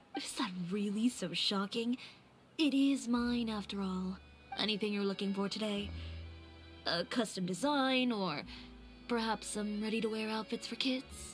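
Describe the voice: A woman puts on a nasal character voice at medium pitch and a moderate pace. She leaves long, frequent pauses while clear music plays in the background.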